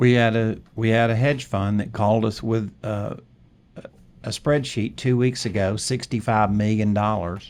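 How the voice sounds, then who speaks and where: The man's fairly low voice keeps fairly even intonation at a moderate pace. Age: 60s. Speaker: real estate note investor and educator. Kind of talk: podcast interview. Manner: halting, repeats words.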